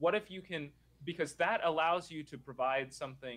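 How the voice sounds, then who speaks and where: Speaking with an American accent at a moderate pace, a man has a plain, everyday voice and a fairly high pitch. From Nashville, Tennessee, US South. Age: 20s. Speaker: real estate investor. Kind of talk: casual interview. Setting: video call from adjacent office.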